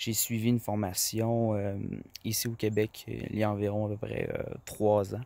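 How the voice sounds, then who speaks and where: On a very clean recording with a silent background and a dry, close sound with no echo, a man with a fairly low pitch speaks fairly slowly in a monotone, flat voice. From Quebec, rural farm. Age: 20s. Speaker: farmer and trading student. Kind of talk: testimony. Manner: halting, many fillers.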